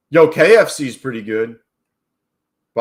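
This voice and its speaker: The recording is very clean with a silent background. A man with an American accent speaks in an animated tone at a fairly high pitch. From New York. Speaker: day trader live streamer. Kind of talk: live stream chat while trading. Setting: live stream. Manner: casual, animated.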